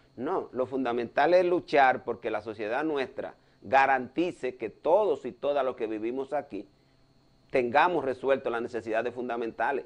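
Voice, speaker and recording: This man talks at a moderate pace with ordinary pitch variation. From Dominican Republic. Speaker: cardiologist and political commentator; political commentator. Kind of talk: news analysis talk show. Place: studio. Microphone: lapel.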